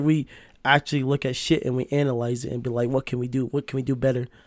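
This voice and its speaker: Very fast speech fills this clip. It is a very clean recording, silent background. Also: man, big swings in loudness. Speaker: podcast host. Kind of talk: casual chat.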